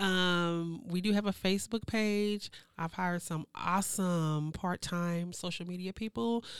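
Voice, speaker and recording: Delivered in a normal speaking voice at a fairly slow pace, the speech has fairly even intonation on a very clean recording with a silent background. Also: woman, medium pitch for a woman. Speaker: program director at a local nonprofit. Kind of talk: casual podcast interview.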